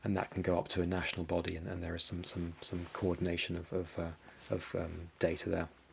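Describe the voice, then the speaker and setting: Somewhat breathy and very deep, low in pitch, a man speaks with a British accent at a fairly quick pace and a monotone, flat intonation. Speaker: cyber security business development head. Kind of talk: conference presentation. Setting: conference presentation. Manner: halting, many repetitions and fillers.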